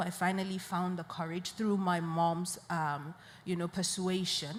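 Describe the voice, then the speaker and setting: In a northern Nigerian accent, a woman speaks at medium pitch and a fairly slow pace, with audible room echo. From Nigeria, Borno State. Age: 20s. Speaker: poet and peace advocate. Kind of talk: panel interview. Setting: live media session at an international conference.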